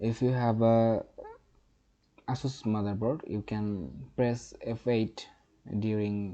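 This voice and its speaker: The voice has a dark, mellow tone and moves at a very slow pace with fairly even intonation. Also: man. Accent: non-native. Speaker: tech tutorial youtuber. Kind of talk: tutorial. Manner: halting.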